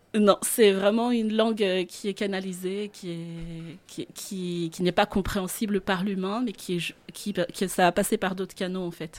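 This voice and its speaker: Using an ordinary speaking voice, a woman talks at medium pitch and a fairly slow pace, with fairly even intonation and hardly any pauses. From Madagascar, central highlands. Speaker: singing teacher and voice coach. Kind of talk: radio interview. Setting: radio studio.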